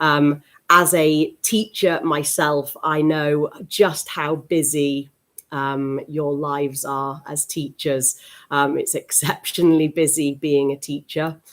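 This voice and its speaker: A woman with a British accent speaks at a very slow pace, with a very deep, low pitch and a monotone, flat intonation. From UK. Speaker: teacher trainer. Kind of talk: webinar presentation. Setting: live stream webinar. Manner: hesitant with many fillers.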